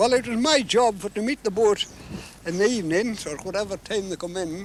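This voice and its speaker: At a moderate pace, a man with a Scottish accent talks at a high pitch. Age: 80s+. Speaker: lobster fisherman. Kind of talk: interview answer.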